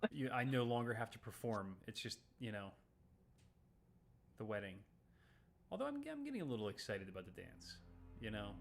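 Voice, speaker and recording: Music plays behind a man with a fairly low voice and fairly even intonation. He moves at a fairly quick pace yet takes long, frequent pauses. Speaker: streamer. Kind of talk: casual chat.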